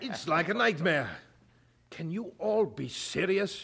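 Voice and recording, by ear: A man puts on a high-pitched character voice with lively intonation and a fairly bright tone. He speaks at a slow pace with vocal fry.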